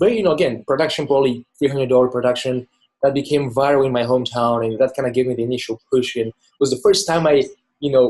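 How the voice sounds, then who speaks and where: Very fast speech in a Bulgarian accent with fairly even intonation. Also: man, medium pitch for a man. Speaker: filmmaker. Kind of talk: interview. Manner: casual, with many fillers.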